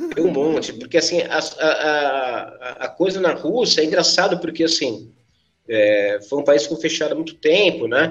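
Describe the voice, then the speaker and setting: This man has a fairly high pitch and lively intonation, with vocal fry. He talks at a fairly slow pace. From São Paulo, south zone (Capão Redondo). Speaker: musician and music school owner. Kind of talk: casual podcast interview. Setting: at his music school.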